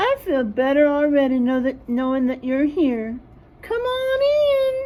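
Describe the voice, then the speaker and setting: Using a put-on character voice, a woman speaks high in pitch at a fairly slow pace. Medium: read story.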